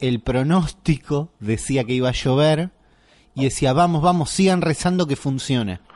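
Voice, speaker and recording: A man with a Rioplatense accent speaks at a fairly slow pace with ordinary pitch variation. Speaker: podcast host. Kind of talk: casual chat. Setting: home kitchen.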